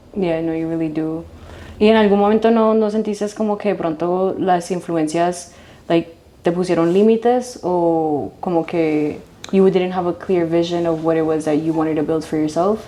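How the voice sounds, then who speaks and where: A woman speaks at a fairly slow pace with fairly even intonation. Her voice is fairly low in pitch, with a dark, mellow tone. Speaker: interviewer, host. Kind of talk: interview questions.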